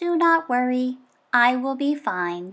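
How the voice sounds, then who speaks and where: At a fairly slow pace, a woman uses a put-on character voice with a high pitch. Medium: read story. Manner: plain, formal, no contractions.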